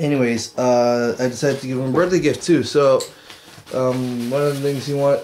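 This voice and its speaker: His pace fairly quick and his intonation fairly even, a man talks over light background noise. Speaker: vlogger. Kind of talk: casual vlog chat. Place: home room. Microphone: webcam.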